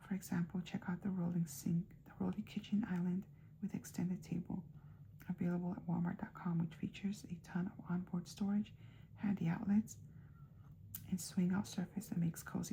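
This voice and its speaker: A soft-spoken voice with a dark, mellow tone and vocal fry keeps a fairly quick pace. Its intonation stays fairly even. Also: woman. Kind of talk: ASMR soft spoken magazine reading. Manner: soft-spoken, quiet.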